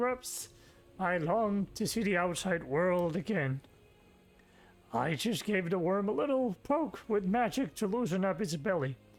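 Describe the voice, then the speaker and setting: A put-on character voice at a moderate pace. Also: man. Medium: game stream. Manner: folksy, chuckling.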